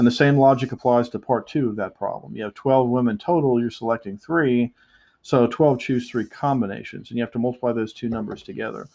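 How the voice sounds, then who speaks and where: Speaking at medium pitch, a man keeps a fairly quick pace. His pitch variation is ordinary. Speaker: math teacher. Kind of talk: lecture. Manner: fast; hesitant, many fillers.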